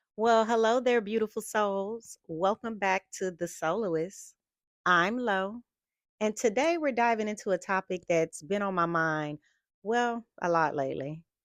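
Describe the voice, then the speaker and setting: A woman with an unremarkable speaking voice, medium in pitch, talks at a fairly slow pace with lively intonation. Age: 50s. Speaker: lifestyle vlogger. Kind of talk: casual vlog talk to camera.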